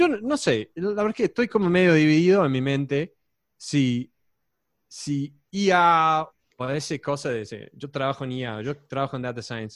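On a very clean recording with a silent background, a man talks at a moderate pace. His pitch is fairly high and his intonation lively. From Texas. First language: English (speaking Spanish). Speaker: data scientist, former math teacher. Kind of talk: casual chat. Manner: halting, with many repeated words.

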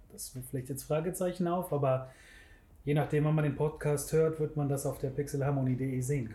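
With a dark, mellow tone, a man speaks fairly quickly and somewhat breathily at a fairly high pitch, his intonation fairly even and his pauses long and frequent. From Germany, Bergisches Land (Wermelskirchen/Remscheid). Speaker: web designer. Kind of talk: casual interview. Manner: halting, many fillers.

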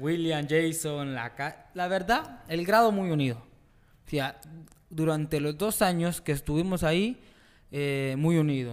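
He has a normal speaking voice, pitched fairly high for a man, with ordinary pitch variation. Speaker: football goalkeeper and coach. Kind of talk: casual interview.

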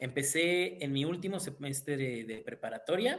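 A plain, everyday voice from a man, fairly high in pitch and fairly slow in pace. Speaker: university student life director. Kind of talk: casual chat.

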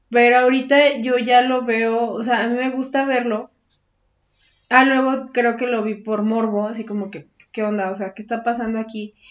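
This woman's fairly high voice holds a monotone, flat intonation. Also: moderate pace. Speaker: podcast co-host. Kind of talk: casual chat.

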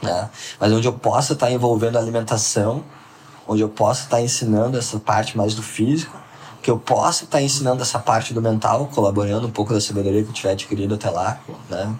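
Against noticeable background noise, the speaker goes at a very fast pace with fairly even intonation. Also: man, medium pitch for a man. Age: 20s. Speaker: entrepreneur. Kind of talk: casual interview.

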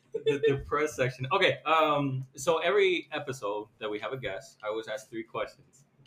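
A man's fairly high-pitched, normal speaking voice, fairly quick and lively in intonation, with hardly any pauses. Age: 20s. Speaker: podcast co-host. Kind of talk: casual chat.

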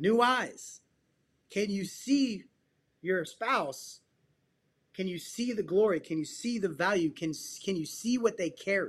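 The speech moves at a fairly slow pace with long, frequent pauses. The background is quiet. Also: man, high pitch for a man, lively intonation. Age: 40s. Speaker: psychotherapist and men's coach. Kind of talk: casual interview chat. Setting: call.

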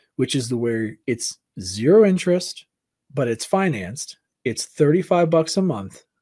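The speaker is a man with a dark, mellow tone at medium pitch. His pitch swings very widely. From Southern California. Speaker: content creator and streamer. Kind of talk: casual podcast interview.

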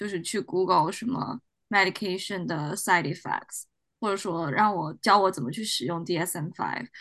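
A woman's plain, everyday voice at a moderate pace with ordinary pitch variation. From China. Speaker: doctoral student in clinical psychology. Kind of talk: casual discussion.

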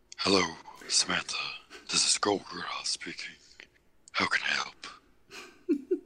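A raspy, put-on character voice at an extremely high pitch moves at a fairly slow pace with long, frequent pauses. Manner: mock-courteous.

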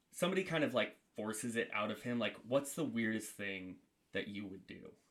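The speaker is a man. His voice is at medium pitch. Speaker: podcast co-host. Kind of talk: casual banter podcast.

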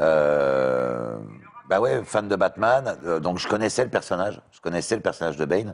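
Delivery is fairly slow, with very wide pitch swings, big swings in loudness, and long, frequent pauses. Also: man. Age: 40s. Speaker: voice actor. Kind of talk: casual chat.

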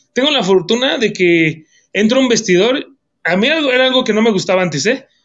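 A man's lively intonation at a moderate pace. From Mexico. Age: 30s. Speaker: professional wrestler. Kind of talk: casual chat.

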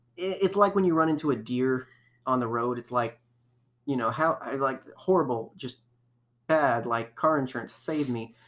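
A man speaks in a normal speaking voice at medium pitch. His pace is moderate and his pitch variation ordinary. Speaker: podcast host. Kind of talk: casual chat. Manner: chatty, filler-heavy.

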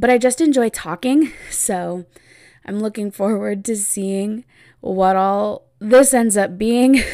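Very slowly, with ordinary pitch variation, a woman talks on a very clean recording with a silent background. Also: fairly high pitch for a woman. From US Pacific Northwest, Oregon. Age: 20s. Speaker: podcast host, special education teacher. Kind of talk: casual solo podcast monologue.

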